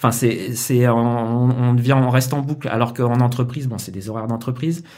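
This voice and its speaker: The speech moves at a moderate pace with monotone, flat intonation. Audible room echo surrounds it. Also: man. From Paris suburbs, France. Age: 40s. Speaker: concept artist. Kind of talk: casual interview.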